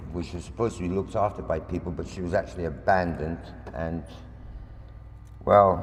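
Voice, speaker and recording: A man with a very deep, low pitch sounds somewhat breathy, and audible room echo surrounds him. He speaks at a fairly quick pace yet leaves long, frequent pauses. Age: 60s. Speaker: local campaigner. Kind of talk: public presentation. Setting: public meeting in a hall. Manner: impassioned.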